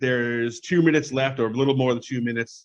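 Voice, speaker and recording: Talking very fast, a man uses a medium pitch. He speaks with an American accent. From US Northeast, Long Island, New York. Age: 40s. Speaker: football fan. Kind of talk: casual interview. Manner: animated.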